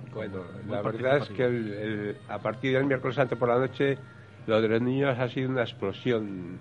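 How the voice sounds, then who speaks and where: Noticeable background noise beneath fairly even intonation and a moderate pace. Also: man, medium pitch for a man. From Spain, Valladolid. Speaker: brotherhood member. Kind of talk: radio talk show panel. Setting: café venue with live audience.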